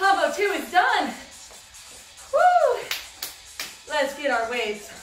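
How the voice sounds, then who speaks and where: Clear music plays behind a woman speaking at a fairly slow pace, with audible room echo. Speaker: fitness instructor. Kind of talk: workout instruction. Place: home room. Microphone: camera far.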